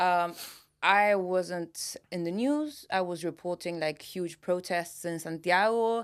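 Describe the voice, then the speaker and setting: A woman with a fairly low pitch speaks at a very slow pace. Her pitch varies in an ordinary way. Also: very clean recording, silent background. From Chile. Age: 30s. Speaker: journalist and news anchor. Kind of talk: casual interview chat. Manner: hesitant, many fillers.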